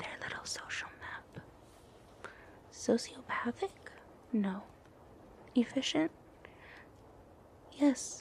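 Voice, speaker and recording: Very slow whispering broken by long, frequent pauses. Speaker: ASMR creator. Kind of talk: ASMR roleplay gossip ramble. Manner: casual, playful, sassy.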